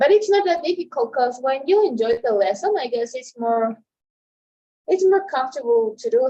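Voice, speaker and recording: With a Spanish accent, a woman speaks at a moderate pace in a high pitch that makes very wide swings. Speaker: translation student. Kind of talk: casual chat. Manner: halting, with many repetitions and fillers.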